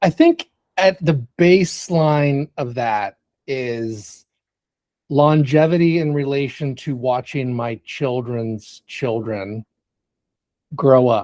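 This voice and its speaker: A man with an American accent speaks very slowly at a fairly high pitch, with long, frequent pauses, in a very clean, dry, close recording with a silent background and no echo. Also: ordinary pitch variation. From United States. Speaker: business executive. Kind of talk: interview.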